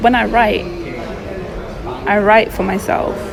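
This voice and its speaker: The speaker is soft-spoken and goes at a moderate pace, with audible room echo and noticeable background noise. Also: woman. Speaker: poet. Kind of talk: casual chat.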